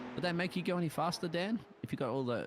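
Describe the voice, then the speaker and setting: The pace of this man is very fast. He speaks in an Australian accent. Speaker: sim racing commentator. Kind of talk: live commentary.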